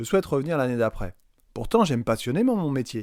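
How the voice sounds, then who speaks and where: A man talks at a fairly high pitch with very wide pitch swings. The recording is very clean, with a silent background. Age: 40s. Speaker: secondary school physics teacher. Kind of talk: recorded testimony.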